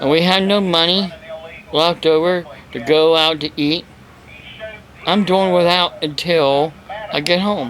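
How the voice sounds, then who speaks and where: With noticeable background noise behind him, a man with a high voice speaks fairly slowly and with fairly even intonation, leaving long, frequent pauses. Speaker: evangelist preacher. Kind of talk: casual talk to camera.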